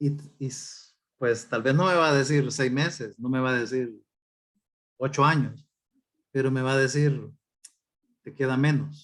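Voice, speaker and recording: Amid audible room echo, a man with a medium pitch speaks with fairly even intonation and long, frequent pauses. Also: fairly slow pace. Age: 60s. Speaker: pastor. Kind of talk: sermon.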